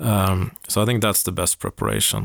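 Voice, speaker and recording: A man speaks in a Swedish accent. His pitch sits fairly low. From Sweden, Uppsala. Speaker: company CEO. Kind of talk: interview.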